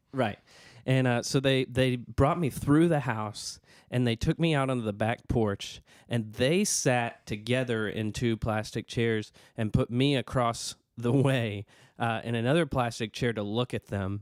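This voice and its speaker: A man with a Southern US accent and medium pitch speaks at a fairly slow pace with ordinary pitch variation. The sound is dry and close with no echo, and the recording is very clean with a silent background. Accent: Southern American. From US South. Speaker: podcast co-host. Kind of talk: casual chat. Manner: halting.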